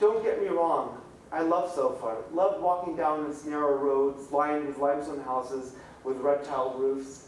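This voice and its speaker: A man at a moderate pace with ordinary pitch variation, audible room echo, and noticeable background noise. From Middle East. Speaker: author. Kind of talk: reading aloud. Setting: library event with audience.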